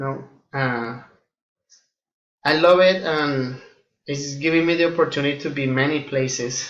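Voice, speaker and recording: With a Colombian accent, a man talks at a fairly slow pace with long, frequent pauses. His intonation is fairly even, and audible room echo surrounds him. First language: Spanish. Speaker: air force flight engineer and student. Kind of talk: self-introduction to classmates. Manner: hesitant, many fillers.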